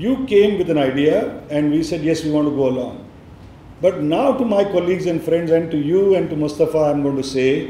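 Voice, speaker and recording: A man with a Marathi accent at a fairly high pitch with ordinary variation and a fairly quick pace, amid noticeable background noise and audible room echo. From India, Maharashtra. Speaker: education nonprofit leader. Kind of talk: speech.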